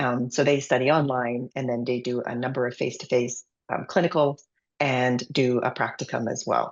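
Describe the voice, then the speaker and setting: A woman's very deep, low voice in a Canadian accent, moderate in pace and monotone, with flat intonation. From Canada. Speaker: paramedic and university lecturer. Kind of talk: webinar presentation. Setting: online webinar. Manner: hesitant, many fillers.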